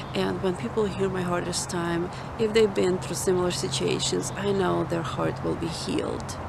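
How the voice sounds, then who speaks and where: A woman speaks at a moderate pace with a non-native accent. Noticeable background noise and audible room echo fill the recording. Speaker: mother. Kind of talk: testimony. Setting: outdoors.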